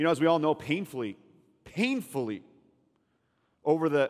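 Against a quiet backdrop, a man is talking. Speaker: pastor. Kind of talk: sermon. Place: church. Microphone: headset.

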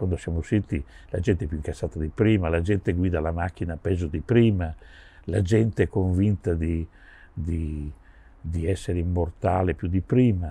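A man speaks at a very deep, low pitch in a dark, mellow tone, somewhat breathy, with ordinary pitch variation. He moves at a moderate pace with long, frequent pauses, and the sound is dry, with no echo. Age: 70s. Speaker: session drummer; interviewee. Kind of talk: interview. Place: garden.

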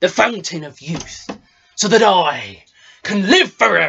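A man delivers his lines fairly slowly in a put-on character voice. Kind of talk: improvised comic pirate acting. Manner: boastful, rousing, jovial.

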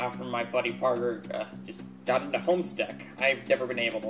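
This is plain reading aloud. The words are simply read out.

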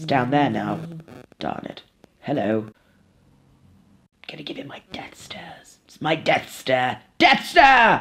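Someone is doing a put-on character voice. The delivery is fairly slow. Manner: frantic, excitable, shouting.

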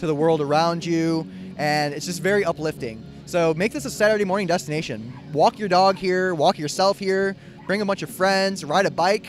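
A man with a high pitch and ordinary pitch variation speaks at a moderate pace, with a dry sound, no echo, and clear music in the background. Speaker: show host. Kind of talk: casual host commentary. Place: market. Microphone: handheld.

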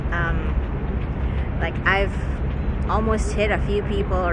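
Loud background noise surrounds a woman speaking at a fairly slow pace. The sound is dry, with no echo. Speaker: vlogger. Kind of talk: casual vlog chat. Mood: mildly annoyed rant. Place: waterside. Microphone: phone near.

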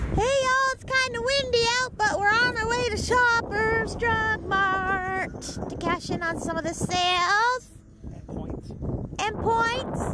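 Over loud background noise, a woman talks at a very slow pace with ordinary pitch variation, and the sound is dry with no echo. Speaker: vlogger. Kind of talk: casual vlog chat. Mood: playful, joking. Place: street. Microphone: phone near.

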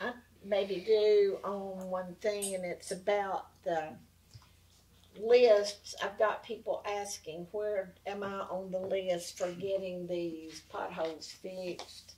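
Dark and mellow in tone, a woman's medium-pitched voice moves at a very slow pace with monotone, flat intonation. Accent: Southern US. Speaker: city council member. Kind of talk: council meeting discussion.

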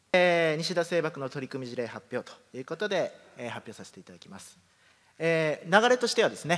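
Pitch rises and falls across a very wide range. The delivery is very fast. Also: man. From Kumamoto, Japan (Yatsushiro); Kumamoto, Japan. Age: 30s. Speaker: company president. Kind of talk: presentation. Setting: stage with audience. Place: hall.

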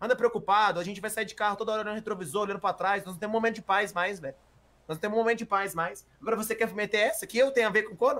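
A man's very fast, high-pitched delivery, bright and sharp in tone, with ordinary pitch variation and big swings in loudness. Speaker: GTA roleplay streamer playing a character. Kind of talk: heated argument, angry and defensive, in a roleplay game. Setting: online game voice chat. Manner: loud, exasperated, indignant; rapid, stumbling, repeating words.

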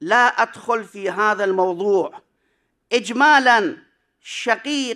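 A man's raised, projected voice, bright and sharp in tone, with ordinary pitch variation over a quiet background. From Iraq. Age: 60s. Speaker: cleric and seminary professor; seminary professor. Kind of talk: conference paper presentation. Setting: conference hall with audience. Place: hall. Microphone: podium.

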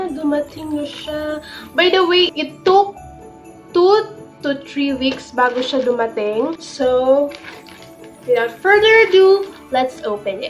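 A woman's high voice at a very slow pace, with long, frequent pauses and faint music in the background. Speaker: vlogger. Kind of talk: casual vlog chat. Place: home room. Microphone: phone near.

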